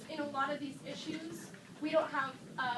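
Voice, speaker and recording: A woman's high, raised and projected voice amid noticeable background noise and audible room echo. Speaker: student representative. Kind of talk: protest speech. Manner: loud.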